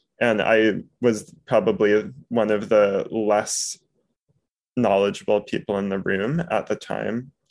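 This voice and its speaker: Very slowly, a man with a fairly low pitch talks in an American accent. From New York City. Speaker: postdoctoral mathematics researcher and book club moderator. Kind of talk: casual interview chat.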